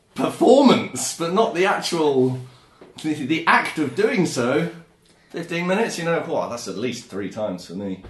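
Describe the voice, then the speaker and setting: A man with an English accent, fairly high pitch and very wide pitch swings, at a fairly slow pace with big swings in loudness, plus audible room echo and noticeable background noise. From England. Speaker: podcast co-host. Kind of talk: casual chat.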